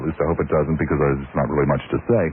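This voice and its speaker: A man's voice over noticeable background noise. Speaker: radio talk show host. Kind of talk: talk radio monologue. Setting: radio studio. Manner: testy.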